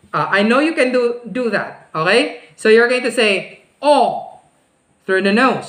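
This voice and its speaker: A woman with a Filipino accent, high pitch and very wide pitch swings, with audible room echo. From Philippines. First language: Filipino language. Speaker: speech teacher. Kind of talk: online class tutorial. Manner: slow, demonstrative enunciation; exaggerated pronunciation.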